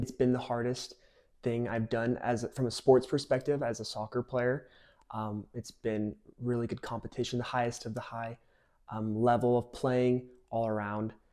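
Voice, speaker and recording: Speaking in a Utah accent, a man has a dark, mellow tone and flat, monotone intonation. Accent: General American, Utah. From Utah, Cedar Hills. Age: 20s. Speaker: college soccer player. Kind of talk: interview.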